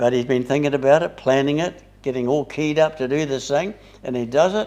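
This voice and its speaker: Fairly quick and dark, mellow in tone, a man with a New Zealand accent speaks at a fairly high pitch with ordinary pitch variation. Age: 80s+. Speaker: Bible study leader. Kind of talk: Bible study discussion. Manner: halting.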